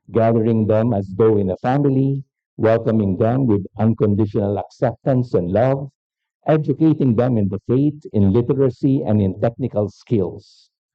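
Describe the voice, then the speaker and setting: Someone with a Filipino accent speaks at a moderate pace with ordinary pitch variation. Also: man. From Philippines. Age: 60s. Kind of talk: keynote lecture.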